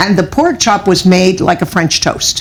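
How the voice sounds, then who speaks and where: A woman with a Cuban-American accent speaks at a medium pitch. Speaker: author. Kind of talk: interview.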